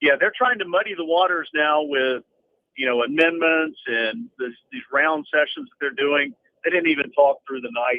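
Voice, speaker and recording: A man with a plain, everyday voice speaks at a moderate pace and fairly high pitch, with lively intonation and big swings in loudness. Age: 60s. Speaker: caller, former FBI official. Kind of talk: call-in political commentary. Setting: phone call.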